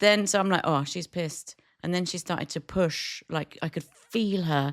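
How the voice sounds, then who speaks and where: An animated voice with a British accent comes through a very clean recording with a silent background and a dry, close sound with no echo. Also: woman, moderate pace. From Britain. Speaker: podcast co-host, cafe owner. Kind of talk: casual chat. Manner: animated storytelling.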